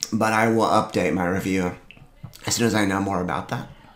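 Audible room echo is present. The voice belongs to a man. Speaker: video creator reviewing products. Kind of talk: casual monologue review. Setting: home office. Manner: casual, chatty. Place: home room.

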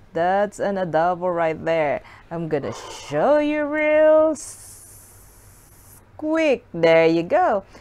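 A very slow delivery with very wide pitch swings and long, frequent pauses. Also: woman. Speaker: food vlogger. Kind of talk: casual mukbang chat. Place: home room. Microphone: camera far.

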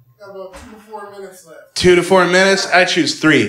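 In a raised, projected voice, a man speaks at a high pitch and a fairly quick pace. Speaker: stand-up comedian. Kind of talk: stand-up comedy. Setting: stage with audience. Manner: animated, sarcastic, rapid-fire punchlines; casual, conversational, with laughs and filler words.

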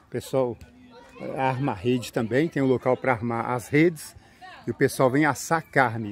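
Crowd noise fills the background as a man speaks with lively intonation. His medium-pitched voice sounds dry, with no echo. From Brazil, São Paulo region. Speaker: YouTuber. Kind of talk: vlog narration. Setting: outdoors in a park. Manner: casual, chatty. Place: open country. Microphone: phone near.

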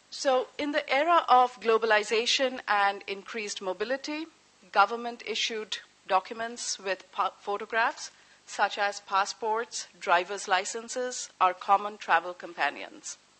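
A woman's fairly high, normal speaking voice at a fairly slow pace, with ordinary pitch variation. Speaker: history professor. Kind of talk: lecture. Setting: lecture hall with live audience. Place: hall. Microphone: podium.

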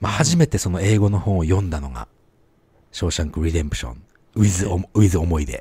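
Somewhat breathy, a man talks at a very fast pace in a very deep, low pitch with lively intonation, broken by long, frequent pauses. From Japan. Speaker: podcast co-host. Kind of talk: casual chat.

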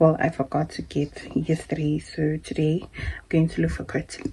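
A woman speaks at a low pitch with a dark, mellow tone. Her voice carries a husky, rough edge.

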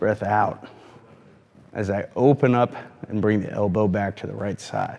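Speaking at a fairly slow pace, a man with an American accent keeps a calm tone, fairly even intonation, and a fairly low pitch. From Michigan. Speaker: golf performance coach. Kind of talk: exercise tutorial. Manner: calm, instructional. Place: gym.

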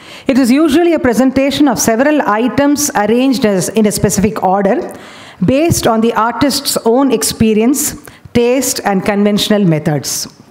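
The intonation is lively. A woman delivers it at a moderate pace. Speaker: conference presenter. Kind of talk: lecture. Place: hall. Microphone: podium.

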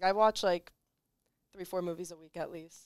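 A woman is heard against a quiet background with a dry sound and no echo. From North Jersey; New Jersey. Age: young. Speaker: college basketball player; guest. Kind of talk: casual chat. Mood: relaxed, friendly. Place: studio. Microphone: headset.

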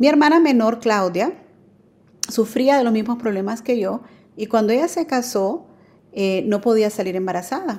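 A woman with a fairly high pitch and a dark, mellow tone talks at a moderate pace, pausing long and often. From Nicaragua, then New Orleans from age 10. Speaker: adoptive mother sharing her story; guest. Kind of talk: testimony. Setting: remote connection. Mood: calm, personal, warm. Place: home room.

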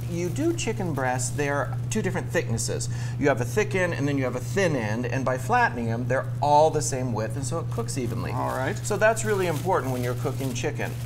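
The speech moves at a fairly quick pace with fairly even intonation. Noticeable background noise runs underneath. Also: man. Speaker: TV chef host. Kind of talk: cooking demonstration tutorial. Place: studio. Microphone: lapel.

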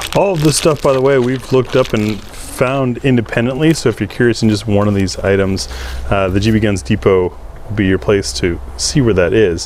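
At a moderate pace with hardly any pauses, the voice has a dry sound with no echo and light background noise. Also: man, fairly low pitch for a man. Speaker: channel host. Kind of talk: product review chat. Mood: relaxed, laughing. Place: garden. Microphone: lapel.

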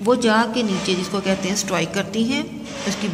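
A woman keeps fairly even intonation at a moderate pace, with noticeable background noise behind her. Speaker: teacher. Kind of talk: lecture. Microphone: phone near.

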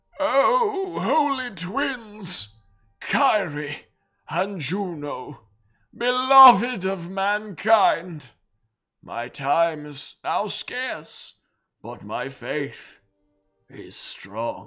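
A man uses a put-on character voice, high-pitched and raised to project, with very wide pitch swings and big swings in loudness. He goes very slowly, with long, frequent pauses. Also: very clean recording, silent background. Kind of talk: dramatic letter reading. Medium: game stream. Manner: solemn, fervent, devotional.

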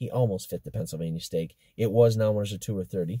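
Against a quiet background, a man speaks in a fairly low, somewhat breathy voice with a dark, mellow tone, the sound dry with no echo. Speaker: horse trainer and owner. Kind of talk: casual barn update commentary. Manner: conversational, hesitant, with filler words. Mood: relaxed, upbeat. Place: car. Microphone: phone near.

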